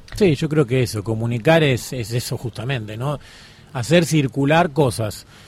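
At a moderate pace, this is a plain, everyday voice. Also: man, medium pitch for a man, ordinary pitch variation. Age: 30s. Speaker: documentary journalist. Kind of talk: radio interview.

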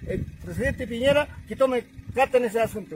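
A man speaks with an extremely high pitch. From northern Chile altiplano, Colchane area. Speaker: local farmer and resident. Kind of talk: testimony.

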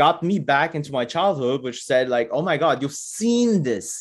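Against a quiet background, a man with a fairly high voice and a normal speaking voice talks at a moderate pace. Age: 40s. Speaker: Lego photographer. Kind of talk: interview.

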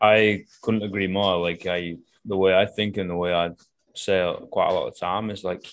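With a Manchester accent, a man speaks in a very deep, low voice. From northern England. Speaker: coach and podcast host. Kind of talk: casual chat. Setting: video call. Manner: animated, swears freely.

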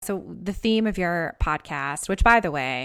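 A woman with an American accent uses a normal speaking voice at medium pitch, moving at a moderate pace with lively intonation. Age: 30s. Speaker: podcast host. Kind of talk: casual interview chat. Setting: remote call.

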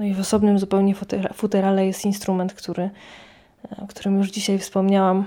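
On a very clean recording with a silent background, a woman with an ordinary speaking voice talks fairly quickly at a medium pitch. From Poland, near Lublin (Poniatowa). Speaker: radio reporter and early music cellist. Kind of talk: personal storytelling.

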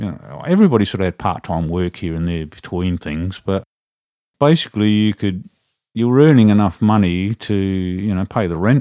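With an Australian accent, a man speaks at a moderate pace in a fairly low, dark and mellow voice with ordinary pitch variation, recorded very cleanly against a silent background. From South Australia, Adelaide. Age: 60s. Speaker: drummer and live audio engineer. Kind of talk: casual interview chat.

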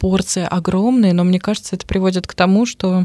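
In an ordinary speaking voice, a woman with a fairly low pitch talks at a moderate pace, the sound dry and close with no echo. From Russia, Moscow. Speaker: radio presenter. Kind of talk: casual chat. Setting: studio.

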